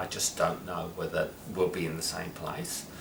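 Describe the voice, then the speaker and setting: Audible room echo and noticeable background noise are both present. Through them, a man talks. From London, England. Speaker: social worker and service manager. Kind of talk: interview. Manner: halting, many fillers.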